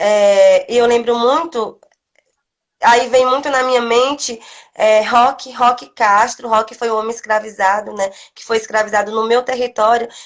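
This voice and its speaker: A woman with a plain, everyday voice talks at a fairly slow pace and a fairly high pitch. Her intonation is fairly even, while her loudness swings widely. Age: young. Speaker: quilombola community leader. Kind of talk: interview. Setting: live video stream.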